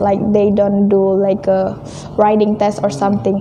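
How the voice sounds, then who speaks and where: A woman with an Indonesian accent speaks over noticeable background noise. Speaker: returned exchange student. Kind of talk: interview.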